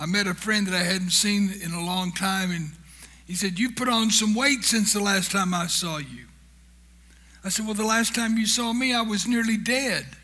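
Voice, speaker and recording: In a room with audible echo, a man speaks in a raised, projected voice at a moderate pace, his high pitch showing ordinary variation. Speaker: founder of a humanitarian charity, guest speaker. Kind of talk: church talk. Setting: church. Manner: humorous, conversational.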